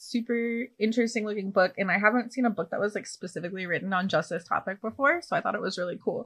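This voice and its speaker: In an American accent, a woman with a plain, everyday voice speaks at a fairly high pitch with ordinary pitch variation. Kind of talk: casual chat.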